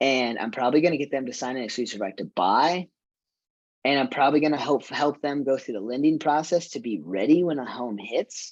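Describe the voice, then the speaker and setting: Over a quiet background, a man with a fairly high pitch and a plain, everyday voice talks at a fairly quick pace with lively intonation. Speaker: real estate agent and trainer. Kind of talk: training session.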